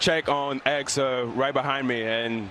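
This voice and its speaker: A man delivers his words fairly slowly, his pitch varying in an ordinary way, with noticeable background noise behind him. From Dominican Republic, raised in Montreal. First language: Spanish. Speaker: professional baseball player. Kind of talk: TV interview. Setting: remote from ballpark. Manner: halting, many fillers.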